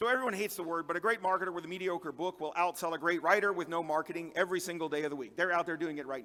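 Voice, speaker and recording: At a very fast pace with hardly any pauses, a man speaks at a high pitch, with ordinary pitch variation and big swings in loudness. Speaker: conference speaker and fantasy author. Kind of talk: conference talk.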